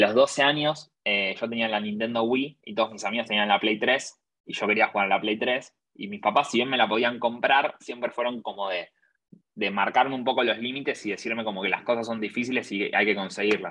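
At a fairly quick pace, a man with an unremarkable speaking voice talks at medium pitch with fairly even intonation. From Argentina. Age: 20s. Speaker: entrepreneur. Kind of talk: interview.

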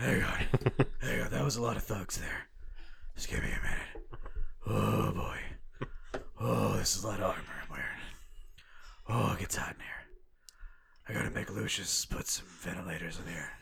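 In a raspy, put-on character voice, a man speaks at a moderate pace with long, frequent pauses. Light background noise is audible. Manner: panting.

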